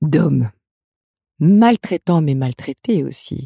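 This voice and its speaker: A woman's very deep, low voice, dark and mellow, somewhat breathy, at a very slow pace, in a dry, close sound with no echo. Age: 50s. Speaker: midwife and therapist. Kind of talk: interview. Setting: studio.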